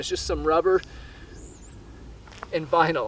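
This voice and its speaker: A man talks over noticeable background noise. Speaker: running coach. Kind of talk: online course lecture. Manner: loud; animated.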